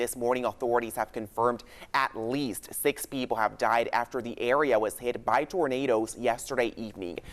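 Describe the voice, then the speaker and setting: This is a normal speaking voice from a man at medium pitch. He keeps a moderate pace with fairly even intonation and hardly any pauses. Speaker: TV news reporter and fill-in anchor. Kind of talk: local TV news anchor and reporter delivery.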